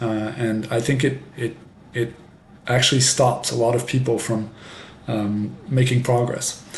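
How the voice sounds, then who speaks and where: Noticeable background noise and audible room echo fill the recording. A man speaks at a fairly slow pace. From France. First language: French, bilingual with English. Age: 50s. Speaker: French professor and English teaching youtuber. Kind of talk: casual monologue introduction. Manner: slow, clear pace for learners; many fillers and hesitations.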